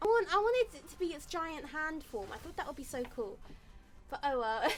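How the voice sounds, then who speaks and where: A woman talks at a fairly quick pace with an extremely high voice, her pitch swinging very widely and her loudness shifting a lot. Noticeable background noise runs underneath. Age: 20s. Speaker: streamer. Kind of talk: casual chat. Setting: live stream. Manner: fast.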